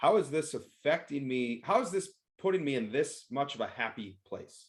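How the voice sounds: This man's voice sits at a medium pitch, with lively intonation. He speaks at a moderate pace.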